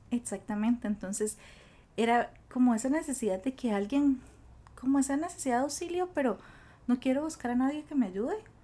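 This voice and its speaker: A woman with a Costa Rican accent speaks high-pitched at a fairly quick pace, with lively intonation, a dark, mellow tone and long, frequent pauses. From Costa Rica, Cachí (rural). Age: 20s. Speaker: school guidance counselor. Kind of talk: podcast interview, personal story.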